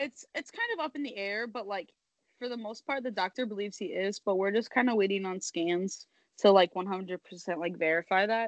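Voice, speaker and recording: Dry and close with no echo, a plain, everyday voice with an American accent moves at a fairly quick pace with ordinary pitch variation. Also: woman, medium pitch for a woman. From St. Louis, US Midwest. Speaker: guest, recent college graduate, former athlete. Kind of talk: casual interview chat. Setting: video call.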